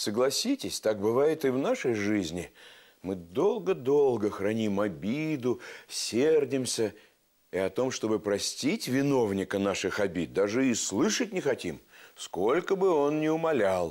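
Against a quiet background, a man talks at a fairly slow pace, his pitch swinging very widely. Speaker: TV storyteller host. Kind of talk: storytelling to children. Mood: warm, playful, expressive. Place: studio. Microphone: lapel.

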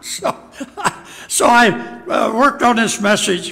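A man's raised, projected voice. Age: old. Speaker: pastor. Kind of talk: sermon. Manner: halting. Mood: light, self-deprecating humor. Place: church. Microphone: podium.

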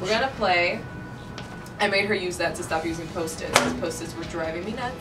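The speech goes by at a fairly quick pace while loud background noise plays. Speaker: radio DJ. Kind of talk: casual studio banter. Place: office. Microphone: camera far.

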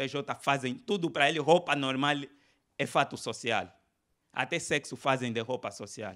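Over a quiet background, a man with a fairly high pitch and a bright, sharp tone speaks with ordinary pitch variation and long, frequent pauses. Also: moderate pace. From Angola. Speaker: stand-up comedian. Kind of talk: stand-up comedy routine riffing on religion before a live audience. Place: hall. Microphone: handheld.

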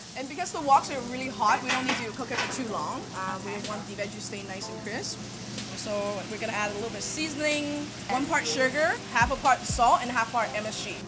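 A woman at a fairly quick pace, with clear music in the background. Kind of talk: tutorial. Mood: friendly, laughing. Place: kitchen.

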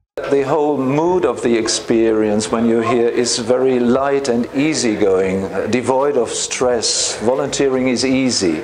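A man speaks at a fairly slow pace with hardly any pauses, keeping his loudness very even. His pitch varies in an ordinary way, and noticeable background noise is present. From Germany. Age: 60s. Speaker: teacher. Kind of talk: interview answer. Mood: warm, reflective. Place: office. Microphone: lapel.

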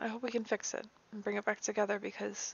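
Talking at a fairly quick pace, a woman with a fairly high pitch and vocal fry comes across dry with no echo. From Sicily. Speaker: reaction video creator. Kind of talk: casual reaction talk to camera. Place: home room.

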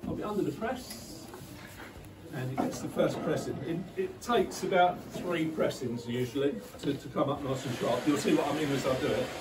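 Here a man talks at a moderate pace. Noticeable background noise sits behind him. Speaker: craftsman demonstrating. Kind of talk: demonstration tutorial. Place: workshop. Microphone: camera far.

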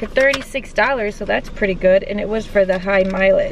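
A woman's voice with ordinary pitch variation comes through dry, with no echo, amid noticeable background noise. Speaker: vlogger. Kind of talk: casual vlog chat. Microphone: phone near.

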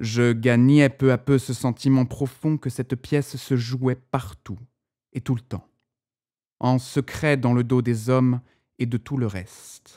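With a solemn tone and fairly even intonation, a man at medium pitch speaks at a very slow pace with long, frequent pauses, recorded very cleanly against a silent background with a dry, close sound and no echo. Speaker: author narrating his own short story. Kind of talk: first-person literary audiobook narration, building to a lyrical, dramatic climax. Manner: measured, solemn storytelling cadence, swelling with wonder and emotion; slightly tentative, a first-time narrator still finding his tone.

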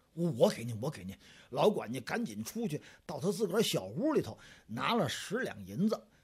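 This is a man talking. His pitch swings very widely. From Tianjin. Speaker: storyteller. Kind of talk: traditional storytelling performance. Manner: lively, expressive.

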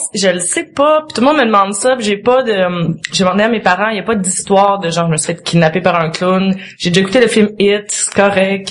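A woman with a Quebec accent speaks at a fairly quick pace and medium pitch, with ordinary pitch variation, hardly any pauses, and noticeable background noise. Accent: Québécois French. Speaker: guest. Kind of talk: casual chat. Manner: talkative.

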